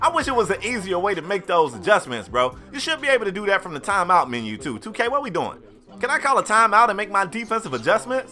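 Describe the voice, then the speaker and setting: A man with a slight Southern US accent speaks at a very fast pace in a raised, projected voice at high pitch, with noticeable background noise. His tone is animated and his pitch swings very widely. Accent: slight Southern twang. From US South. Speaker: gaming YouTuber. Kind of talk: gameplay commentary. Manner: casual, animated.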